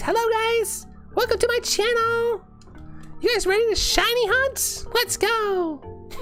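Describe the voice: A put-on character voice at an extremely high pitch speaks at a fairly slow pace. Clear music plays in the background.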